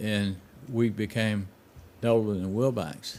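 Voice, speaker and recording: With a Memphis accent, a man speaks at a fairly slow pace. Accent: Southern US (Memphis). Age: 70s. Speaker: drag racer, hot rodder. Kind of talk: casual chat.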